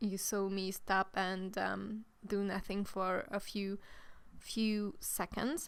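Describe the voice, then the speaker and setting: A woman's medium-pitched voice at a very slow pace, monotone and flat in intonation, with very even loudness. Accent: Hungarian. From Hungary. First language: Hungarian. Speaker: gaming youtuber. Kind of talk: voiceover commentary. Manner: halting.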